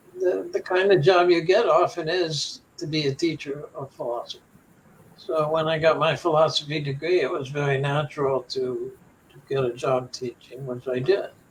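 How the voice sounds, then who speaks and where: Over noticeable background noise, a man with a Midwestern American accent speaks fairly slowly at a fairly high pitch. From Cincinnati. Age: 70s. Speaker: philosophy teacher. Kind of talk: interview answer.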